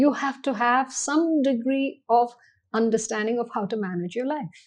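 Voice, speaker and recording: Speaking at a moderate pace, a woman with a Tamil accent has a high-pitched voice. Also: ordinary pitch variation, quiet background. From India, army upbringing across regions. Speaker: banking executive. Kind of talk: podcast interview.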